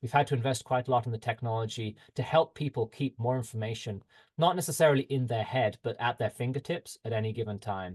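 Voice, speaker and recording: A man talks at a very fast pace with a medium pitch and a somewhat breathy sound. The background is quiet. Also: dry, close sound with no echo. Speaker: health tech company representative. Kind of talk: webinar presentation.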